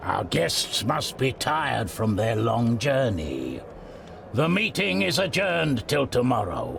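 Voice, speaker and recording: A man's put-on character voice at a medium pitch and fairly slow pace, with clear background noise. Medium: video game. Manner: authoritative.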